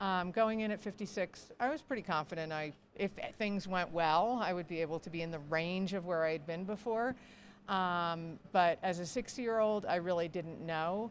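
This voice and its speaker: A woman with a plain, everyday voice, fairly low pitch, ordinary pitch variation and moderate pace, on a very clean recording with a silent background. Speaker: ultrarunner and race board president. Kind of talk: interview. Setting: live broadcast at race venue.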